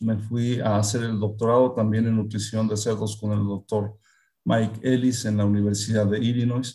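A man's dark, mellow, somewhat breathy voice at a medium pitch and moderate pace. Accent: Mexican. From central Mexico (Hidalgo). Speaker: veterinarian and pig nutrition expert. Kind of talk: interview.

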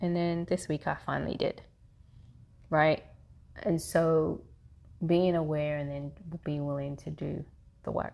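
A woman's very deep, low voice in a monotone, flat intonation, at a fairly slow pace with long, frequent pauses. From London, England, Caribbean parents. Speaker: therapist. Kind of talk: interview conversation.

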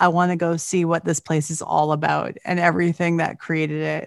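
A woman with a Canadian accent and a plain, everyday voice talks fairly quickly at a fairly low pitch, the sound dry and close with no echo against a quiet background. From Canada. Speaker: podcast host. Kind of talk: casual chat.

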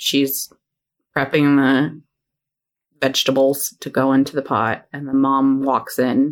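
A woman with a very deep, low pitch. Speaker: podcast co-host. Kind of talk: casual chat.

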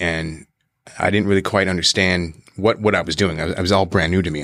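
Speaking fairly quickly with an American accent, a man has a very deep, low pitch and ordinary pitch variation in a very clean recording with a silent background. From Lake Tahoe area, then Bainbridge Island, Washington. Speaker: stage and screen actor. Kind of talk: casual chat. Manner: animated.

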